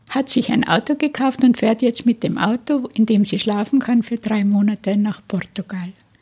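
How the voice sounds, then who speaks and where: A woman's fairly high voice at a moderate pace with fairly even intonation, over noticeable background noise. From Tyrol, Austria. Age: 80s+. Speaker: interviewee sharing childhood memories. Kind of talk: oral history interview. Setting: studio.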